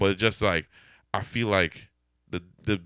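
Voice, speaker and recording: The man's voice is very deep and low. He keeps to a moderate pace. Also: dry, close sound with no echo. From Trinidad and Tobago. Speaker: DJ. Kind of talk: casual interview chat. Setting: radio studio.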